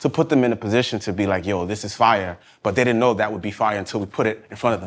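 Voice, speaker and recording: The speaker has a New York accent. The pitch variation is ordinary. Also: man. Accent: New York (Bronx). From New York, South Bronx. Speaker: fashion designer. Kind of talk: casual interview chat.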